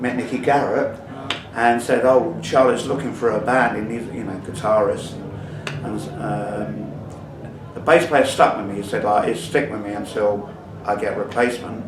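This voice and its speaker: Loudness swings widely throughout the clip. Background noise is noticeable. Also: man, medium pitch for a man, ordinary pitch variation, moderate pace. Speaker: punk band singer, interviewee. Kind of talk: interview answer.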